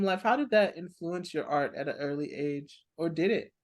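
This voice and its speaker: A woman with an American accent, lively intonation and a fairly slow pace. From California. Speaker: interviewer. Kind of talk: interview.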